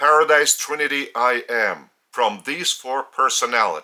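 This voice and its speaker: Bright and sharp in tone, a man speaks very slowly with a Lithuanian accent. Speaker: spiritual teacher. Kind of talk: spiritual teaching talk. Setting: indoors.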